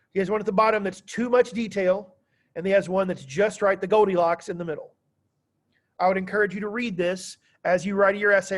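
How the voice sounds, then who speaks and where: Loud and high-pitched, a man is speaking. His pace is very fast. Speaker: high school history teacher. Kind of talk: classroom lecture. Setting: classroom. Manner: animated.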